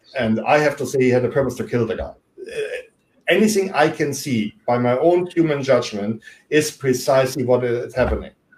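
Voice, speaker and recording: Somewhat breathy, a man with a German accent talks at a medium pitch and a fairly quick pace, with ordinary pitch variation. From Germany. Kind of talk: interview discussion.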